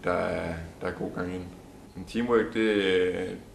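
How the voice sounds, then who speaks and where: Audible room echo follows this man's voice as he talks. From Denmark, Allerød, Zealand. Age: 20s. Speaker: folk high school sailing student. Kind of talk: interview. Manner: halting, many fillers.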